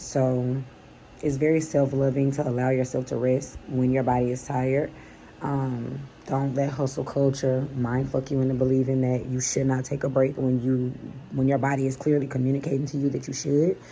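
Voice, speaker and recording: At a moderate pace, a woman talks in a very deep, low voice with monotone, flat intonation over noticeable background noise. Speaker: lifestyle vlogger and psychic reader. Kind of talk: casual vlog monologue.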